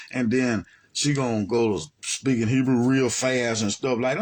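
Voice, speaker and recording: Speaking in an American accent, a man delivers his words at a moderate pace in an animated tone. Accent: Southern US (others pick at it). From US South, Alabama. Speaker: religious teacher. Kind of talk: monologue commentary.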